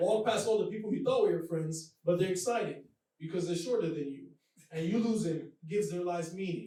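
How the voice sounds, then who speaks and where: This man has a high pitch, ordinary pitch variation and a slight Nigerian accent. He talks at a fairly quick pace, and the room echo is audible. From Nigeria, Lagos. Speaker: comedian. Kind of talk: stand-up. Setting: stage with audience.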